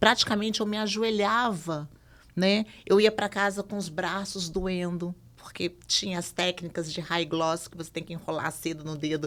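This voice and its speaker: A plain, everyday voice: a woman at a medium pitch, moderate pace and ordinary pitch variation, with big swings in loudness. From Brazil, Minas Gerais (Belo Horizonte). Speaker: podcast guest sharing life story. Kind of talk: conversational podcast testimony.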